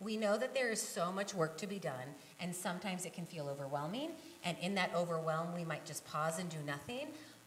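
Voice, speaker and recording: A woman's fairly low-pitched voice with lively intonation at a fairly quick pace, in audible room echo. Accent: American. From western Nebraska. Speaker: kindergarten teacher and peace group volunteer. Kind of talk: conference talk. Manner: fast.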